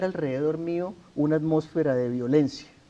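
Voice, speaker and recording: A man with a Colombian accent speaks with a fairly high pitch, a dark, mellow tone and fairly even intonation. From Colombia, Santander. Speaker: author interviewed about his imprisonment. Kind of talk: TV interview. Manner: formal.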